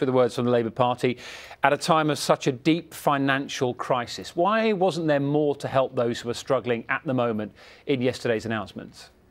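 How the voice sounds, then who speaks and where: A man speaks in an unremarkable speaking voice at a medium pitch with ordinary pitch variation. The recording is very clean with a silent background. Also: fairly quick pace. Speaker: TV news presenter. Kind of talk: TV news interview. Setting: studio.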